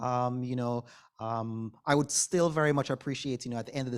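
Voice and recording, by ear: A man speaks at a medium pitch in a clear, smooth tone. His pitch variation is ordinary and his pace moderate.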